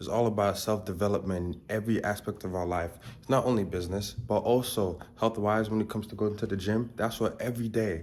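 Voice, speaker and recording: At a very fast pace with hardly any pauses, a man speaks at a fairly low pitch and with fairly even intonation. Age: 20s. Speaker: self-improvement vlogger. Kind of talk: casual vlog talk to camera.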